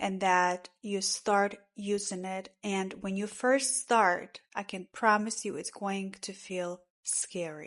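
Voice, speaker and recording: A woman's medium-pitched voice at a very slow pace with hardly any pauses and fairly even intonation against a quiet background. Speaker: spiritual coach. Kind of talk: tutorial.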